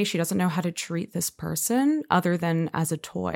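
In a normal speaking voice, the speaker goes at a moderate pace on a very clean recording with a silent background. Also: woman. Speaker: opera singer. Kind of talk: casual interview chat.

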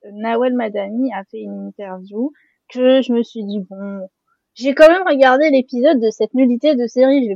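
A woman talks at a moderate pace with a normal speaking voice, pitched fairly high with ordinary pitch variation. Her loudness swings widely. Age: 20s. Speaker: literary influencer and critic. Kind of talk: casual roundtable discussion.

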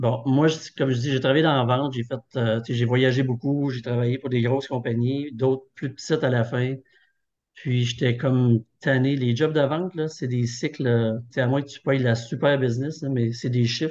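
A man's ordinary speaking voice at a medium pitch and moderate pace, with fairly even intonation. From Quebec, Thetford. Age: 50s. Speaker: online work-clothing store owner. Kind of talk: interview.

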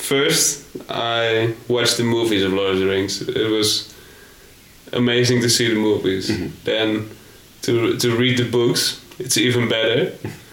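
At a fairly slow pace with a Dutch accent, the speaker keeps a fairly even intonation and very even loudness over noticeable background noise. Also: man, medium pitch for a man. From Netherlands. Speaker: backpacker. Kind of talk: casual chat. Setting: hostel in Thailand.

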